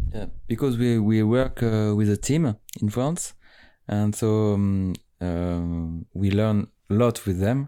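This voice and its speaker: On a very clean recording with a silent background, a man with a fairly low pitch and a dark, mellow tone speaks very slowly with ordinary pitch variation. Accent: French. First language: French. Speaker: musician. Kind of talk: interview. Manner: halting, searching for English words.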